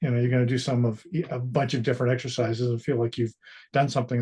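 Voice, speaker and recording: A man's somewhat breathy voice with a dark, mellow tone, over a quiet background. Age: 60s. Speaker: strength training client. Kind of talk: interview. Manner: halting.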